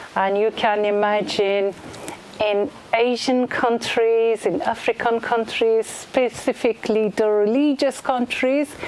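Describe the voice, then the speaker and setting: At a very slow pace, a woman with a fairly high pitch speaks in very even loudness and fairly even intonation over noticeable background noise. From Iran. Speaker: blind singer. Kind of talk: spoken introduction before a concert. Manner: halting, many fillers.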